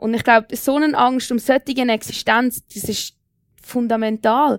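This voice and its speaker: Pitch varies in an ordinary way in this clip, which features a normal speaking voice. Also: woman. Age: 20s. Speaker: young local politician. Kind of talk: panel debate.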